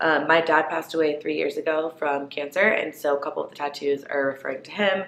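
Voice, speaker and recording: Over noticeable background noise, a woman with a very deep, low pitch talks at a very fast pace with hardly any pauses, fairly even intonation and big swings in loudness. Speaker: lifestyle vlogger. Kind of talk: casual chat. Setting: sitting down, filming to camera. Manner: chatty, filler-heavy.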